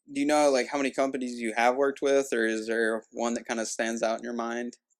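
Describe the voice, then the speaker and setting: A man speaks at a medium pitch with a Kentucky accent. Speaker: podcast host. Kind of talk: casual interview. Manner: hesitant, many fillers.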